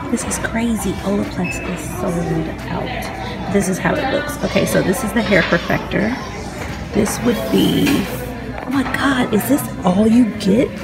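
Clear music plays in the background as a woman speaks at a fairly slow pace with ordinary pitch variation. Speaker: beauty vlogger. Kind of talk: casual vlog chat. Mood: excited, opinionated. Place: shop. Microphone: phone near.

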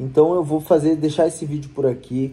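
The man's voice is fairly high-pitched and somewhat breathy. It has a dark, mellow tone and ordinary pitch variation. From Rio Grande do Sul, Brazil. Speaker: lawyer. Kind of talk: vlog-style tutorial to camera. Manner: casual, conversational. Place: office. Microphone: phone near.

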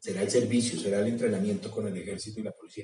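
Audible room echo surrounds a man whose dark, mellow tone comes at a fairly quick pace.

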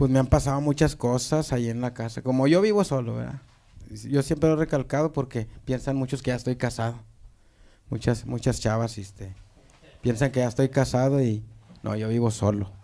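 A man talks with ordinary pitch variation and a dark, mellow tone. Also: medium pitch for a man, moderate pace. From Apodaca, Nuevo León, Mexico; Nuevo León, Mexico. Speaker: viral video comedian. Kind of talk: casual chat. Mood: relaxed, amused storytelling. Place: studio. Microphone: handheld.

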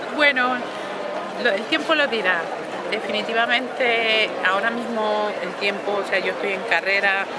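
A woman's voice sounds dry with no echo, with loud background noise behind it. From Canary Islands, Spain. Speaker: opera singer, mezzo-soprano. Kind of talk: interview answer. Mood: warm, reflective. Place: street.

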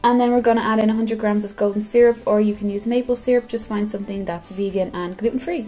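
Faint music plays in the background as a woman with an Irish accent speaks at a fairly high pitch and a very fast pace, with fairly even intonation and hardly any pauses. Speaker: home baker. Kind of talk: casual talk to camera. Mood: light, jokey. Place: kitchen.

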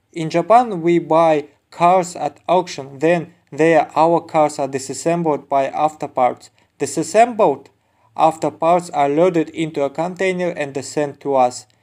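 The speech comes at a fairly slow pace with a non-native accent. Its pitch varies in an ordinary way. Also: man, fairly high pitch for a man. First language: not English. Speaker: used auto parts seller. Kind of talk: sales pitch. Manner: informative, product-demo style.

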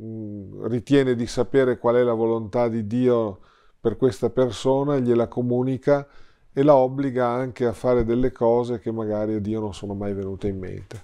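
At a moderate pace, a man talks with a dark, mellow tone and fairly even intonation over a quiet background. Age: 60s. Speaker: priest and theology lecturer; priest. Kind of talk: interview. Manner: hesitant fillers. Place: home room. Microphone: lapel.

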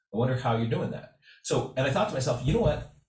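A man speaks over a quiet background. Room echo is audible. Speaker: art instructor. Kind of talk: casual workshop talk. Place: home room. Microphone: webcam.

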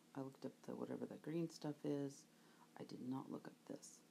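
Light background noise runs beneath a woman's speech. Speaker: reseller shopping. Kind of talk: casual vlog chat. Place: market. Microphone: phone near.

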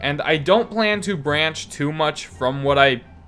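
There is music in the background while a man talks with lively intonation. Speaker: indie game developer. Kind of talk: casual unscripted devlog commentary. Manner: rambling, some stuttering.

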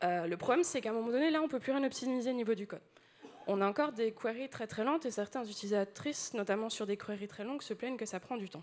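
Speaking very fast, a woman uses a fairly high voice with ordinary pitch variation. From France. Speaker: UX designer, conference speaker. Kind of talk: conference talk. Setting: stage with audience. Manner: animated. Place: hall.

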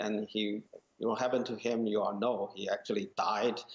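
The speaker is a man. He talks with a Chinese accent. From rural China. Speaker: molecular geneticist, media executive; guest. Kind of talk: panel discussion. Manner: halting, many fillers. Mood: serious, concerned.

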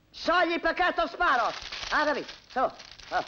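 A put-on character voice with big pitch swings and a bright, sharp tone. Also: woman, high pitch for a woman, moderate pace.

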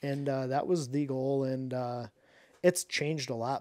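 Over a quiet background, a man with an American accent talks at a moderate pace. His tone is dark and mellow, and his pitch is fairly high. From Michigan, mid Michigan. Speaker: professional bass angler and fishing YouTuber; podcast guest. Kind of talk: casual interview chat. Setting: studio. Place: studio. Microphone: studio mic.

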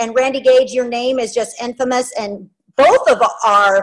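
Over a quiet background, a woman with a high pitch speaks at a fairly slow pace with ordinary pitch variation. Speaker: show host. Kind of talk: interview host introduction. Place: home room. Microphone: video call.

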